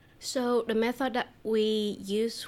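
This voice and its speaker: A woman speaks with a Vietnamese accent. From southern Vietnam. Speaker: language teacher. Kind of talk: casual interview. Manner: laughs often.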